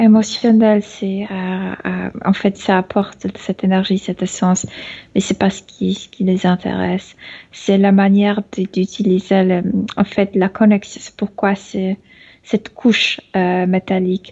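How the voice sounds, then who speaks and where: At a very slow pace, a woman speaks in a monotone with a dark, mellow tone that is somewhat breathy. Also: medium pitch for a woman. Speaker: channeling medium. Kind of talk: trance channeling. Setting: video call. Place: home room. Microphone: video call.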